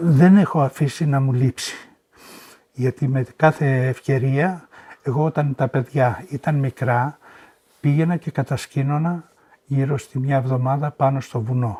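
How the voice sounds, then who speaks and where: Somewhat breathy, a man speaks with a dark, mellow tone in a fairly high pitch with fairly even intonation. His fairly slow delivery sounds dry and close with no echo. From Boeotia, Greece. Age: 70s. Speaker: Sarakatsani oral history witness. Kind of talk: interview answer.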